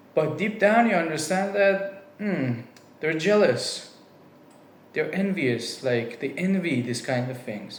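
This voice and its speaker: Speaking very slowly with a non-native accent, a man with a high voice swings his pitch very widely, with noticeable background noise and audible room echo. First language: not English. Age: 20s. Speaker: vlogger. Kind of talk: personal monologue. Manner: casual, with fillers.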